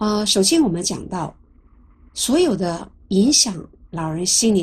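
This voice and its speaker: Somewhat breathy, a woman talks at a fairly slow pace. Her intonation is lively. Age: 60s. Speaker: lecturer on psychology of aging. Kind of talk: lecture. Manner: conversational, with frequent filler sounds.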